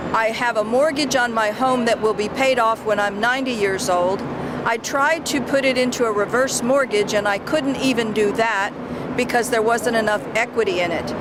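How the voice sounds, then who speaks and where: A woman's fairly high voice with ordinary pitch variation and very even loudness, amid noticeable background noise. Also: moderate pace. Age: old. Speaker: constituent at a rally. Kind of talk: testimony.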